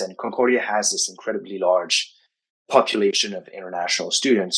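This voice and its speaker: A man talks at a fairly quick pace. He speaks with a French accent. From Quebec, Canada. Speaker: writing coach. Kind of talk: interview.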